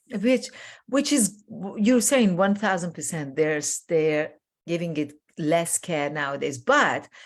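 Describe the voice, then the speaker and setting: In a very clean recording with a silent background, a woman with a fairly low pitch speaks at a very slow pace. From Iran. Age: 60s. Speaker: life coach. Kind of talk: interview conversation.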